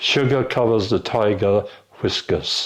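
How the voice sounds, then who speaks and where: A man talks at a very slow pace with a fairly low pitch. The background is quiet. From Mallow, County Cork, Ireland. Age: 70s. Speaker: engineer and trade union official. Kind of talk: word list reading.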